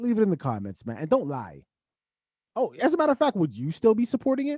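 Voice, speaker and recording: An extremely high-pitched man talks very fast, his pitch swinging very widely in an animated tone. The sound is dry and close, with no echo. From Canada. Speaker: podcast host. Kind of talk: casual chat.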